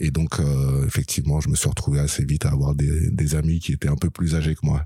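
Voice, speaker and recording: A man's very deep, low voice, dark and mellow, at a moderate pace with fairly even intonation, the sound dry and close with no echo. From Paris region, eastern suburbs (Seine-et-Marne). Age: 30s. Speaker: former cannabis dealer. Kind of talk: interview.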